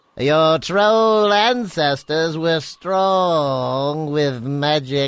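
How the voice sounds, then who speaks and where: This is a cartoonish character voice at a middle pitch. It moves at a very slow pace. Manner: measured, hesitant with filler.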